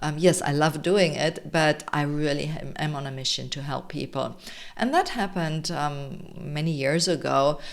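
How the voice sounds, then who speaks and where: A woman with a German accent talks at a moderate pace. Her very deep, low pitch holds fairly even intonation. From Germany, Munich, Bavaria. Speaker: health coach and summit organizer. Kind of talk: presentation to an online audience.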